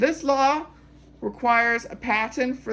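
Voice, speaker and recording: An ordinary speaking voice from a woman, her pitch variation ordinary. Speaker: pharmacy technician exam tutor. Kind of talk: tutorial. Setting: recording at a whiteboard.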